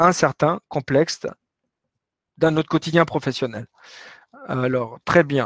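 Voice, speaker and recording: A man speaks with a Latin American Spanish accent at a fairly slow pace. His pitch is fairly high, and the sound is dry and close with no echo. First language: Spanish (speaking French). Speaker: business professor. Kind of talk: webinar lecture with Q&A. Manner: hesitant, many fillers.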